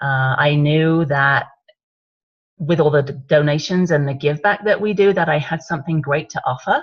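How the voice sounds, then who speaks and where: A woman with an English accent speaks at a moderate pace with a very deep, low pitch. Her voice is somewhat breathy, with ordinary pitch variation. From England. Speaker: wine business consultant. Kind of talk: training webinar talk. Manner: conversational, with frequent fillers.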